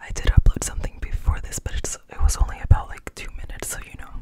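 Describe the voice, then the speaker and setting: At a moderate pace, a man speaks in a whisper. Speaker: ASMR creator. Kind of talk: ASMR chit chat. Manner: whispered. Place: home room. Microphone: studio mic.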